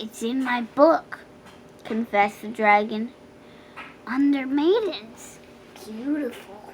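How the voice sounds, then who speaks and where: Using a gruff, put-on character voice, a woman speaks high and fairly slowly. Long, frequent pauses break her lines over clear background noise. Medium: read story. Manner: bellowing, gruff.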